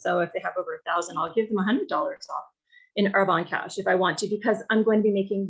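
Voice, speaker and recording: A woman at a medium pitch, very fast, with fairly even intonation. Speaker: direct sales team leader. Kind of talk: training call.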